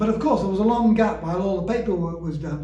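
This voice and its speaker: A man with a Yorkshire accent talks at a very fast pace and a high pitch, with ordinary pitch variation. Noticeable background noise and audible room echo are present. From northern England, Yorkshire (Bradford). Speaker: author and former newspaper reporter. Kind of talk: personal storytelling. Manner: halting.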